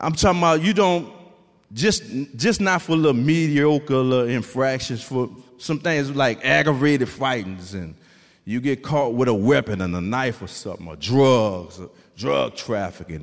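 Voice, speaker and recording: In a New Orleans accent, a man speaks at a moderate pace with a medium pitch, a warm, animated tone, very wide pitch swings and big swings in loudness. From New Orleans, Louisiana. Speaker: formerly incarcerated man, author, testimony speaker. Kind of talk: preaching-style testimony to a church congregation, call-and-response. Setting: church stage with a live audience. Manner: animated, rhythmic preacher cadence, exhorting the crowd with repeated 'come on'; warm, humorous and conversational with the audience.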